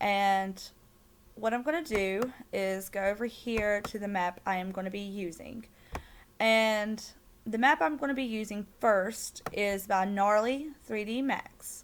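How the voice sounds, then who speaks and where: A woman speaks fairly slowly with a strong Southern accent. Her pitch is medium, with ordinary variation. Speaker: game content creator. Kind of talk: tutorial. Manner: loud; hesitant, many fillers.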